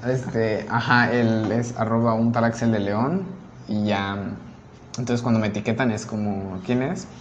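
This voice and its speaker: Audible room echo and noticeable background noise around a man speaking fairly slowly, his medium pitch showing ordinary variation. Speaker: podcast co-host. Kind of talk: casual chat.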